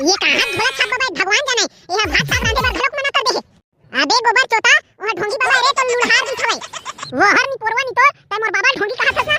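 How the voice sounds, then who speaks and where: A man's put-on character voice, extremely high in pitch, at a very fast pace. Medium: comedy sketch. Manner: loud, bantering.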